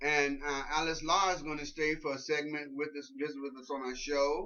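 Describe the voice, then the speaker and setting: Over audible room echo, a man talks at a moderate pace in a fairly high voice with fairly even intonation. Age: 60s. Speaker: political talk show host. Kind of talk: casual chat.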